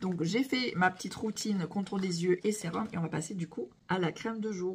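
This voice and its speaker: Ordinary pitch variation marks this woman's medium-pitched speech. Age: 40s. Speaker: beauty product seller / vlogger. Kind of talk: product demo vlog. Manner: animated.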